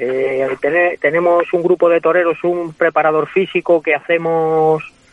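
A man's high-pitched voice at a fairly slow pace, fairly even in intonation, with hardly any pauses and noticeable background noise. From Spain, Guadalajara. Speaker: bullfighter. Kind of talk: interview. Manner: halting.

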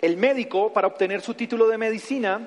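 A man speaks in a Bogotá accent at a moderate pace. His tone is animated, with ordinary pitch variation. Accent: Bogotá Colombian Spanish (rolo). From Bogotá, Colombia. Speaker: pastor. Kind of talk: sermon. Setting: church.

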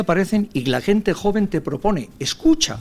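A man's pitch swings very widely. He speaks at a fairly slow pace. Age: 60s. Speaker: senior professionals association president. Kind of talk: radio interview.

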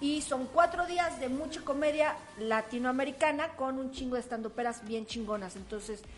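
A woman with a Mexican accent speaks at a high pitch and a fairly slow pace with ordinary pitch variation, against noticeable background noise. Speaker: comedian. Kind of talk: casual chat; event promotion.

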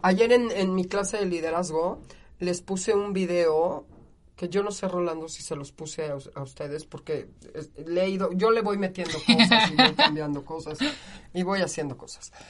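Animated in tone, a woman with a Mexican accent speaks fairly slowly, with ordinary pitch variation and big swings in loudness. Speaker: university lecturer. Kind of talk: interview. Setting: studio.

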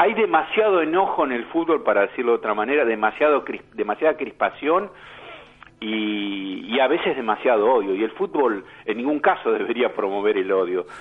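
At a moderate pace, a man's voice makes very wide pitch swings. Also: medium pitch for a man. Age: 50s. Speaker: journalist and social psychologist. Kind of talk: radio interview.

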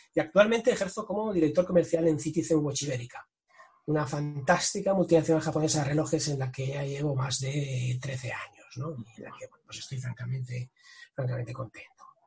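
Over music in the background, a man with a fairly high pitch talks at a fairly quick pace, his loudness swinging widely. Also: ordinary pitch variation. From Catalonia, Spain (Tarragona coast). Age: 40s. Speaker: sales director and author. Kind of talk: interview.

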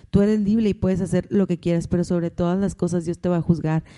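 A woman's medium-pitched voice, dark and mellow in tone and monotone and flat, with a dry, close sound and no echo. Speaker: host's wife. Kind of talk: casual chat.

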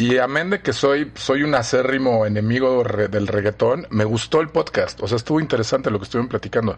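Ordinary pitch variation, a fairly quick pace and hardly any pauses. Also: man, medium pitch for a man. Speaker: professor. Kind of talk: casual chat.

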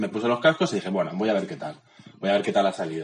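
A man speaks with very wide swings in pitch. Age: young. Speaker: podcast co-host. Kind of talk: casual chat. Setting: at home. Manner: halting.

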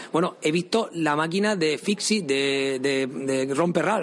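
A man speaks at a moderate pace with a fairly high pitch and ordinary pitch variation. His loudness stays very even over noticeable background noise. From Spain. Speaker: podcast host. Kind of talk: interview. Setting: museum.

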